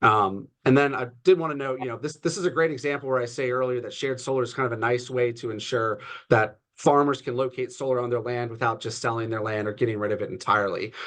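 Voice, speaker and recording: Hardly pausing at all, a man speaks at a very fast pace. His pitch is medium, with ordinary variation. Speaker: lobbyist for solar industry. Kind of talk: presentation at online meeting. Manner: many filler words.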